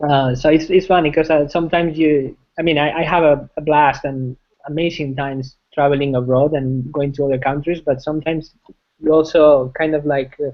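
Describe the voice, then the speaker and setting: In a Spanish accent, a man talks with monotone, flat intonation. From Spain, Madrid. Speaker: software engineering manager. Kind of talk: interview. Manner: halting, many fillers and repetitions.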